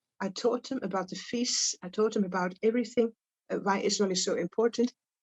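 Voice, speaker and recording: With a Dutch accent, a woman speaks at a moderate pace in a fairly high, somewhat breathy voice. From Netherlands. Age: 80s+. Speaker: Holocaust survivor. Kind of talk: testimony. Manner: halting.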